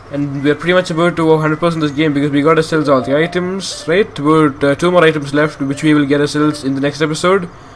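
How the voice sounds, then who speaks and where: A man rushes along at a very fast pace, hardly pausing, with noticeable background noise behind him. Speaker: gaming youtuber. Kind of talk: let's play commentary. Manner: halting.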